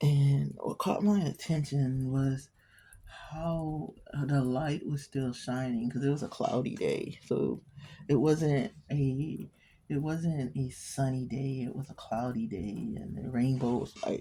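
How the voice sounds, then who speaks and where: At a very slow pace, a woman speaks in a somewhat breathy, very deep, low pitch with a dark, mellow tone. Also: ordinary pitch variation. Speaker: amateur painter and writer. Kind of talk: casual painting tutorial. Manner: whispering at times; casual, hesitant.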